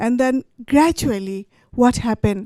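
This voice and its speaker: A woman with a high pitch and a dark, mellow tone speaks at a fairly slow pace, the sound dry and close with no echo on a very clean recording with a silent background. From Bangladesh. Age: 70s. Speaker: poet. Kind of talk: storytelling talk. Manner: halting.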